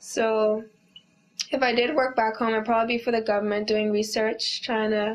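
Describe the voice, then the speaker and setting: At a moderate pace, a woman with a fairly high pitch speaks in monotone, flat intonation at very even loudness. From Bahamas. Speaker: university student, immigrant. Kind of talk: interview. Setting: on camera. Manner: casual, many fillers.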